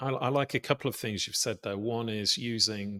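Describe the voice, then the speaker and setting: With a British accent, this man speaks at a fairly low pitch in a bright, sharp tone. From British Isles. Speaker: podcast host. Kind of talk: podcast interview.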